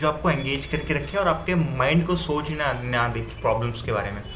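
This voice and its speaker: Noticeable background noise sits behind this recording. A man speaks in a fairly high voice with ordinary pitch variation. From India. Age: 20s. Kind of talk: casual talk to camera. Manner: casual Hindi-English mix.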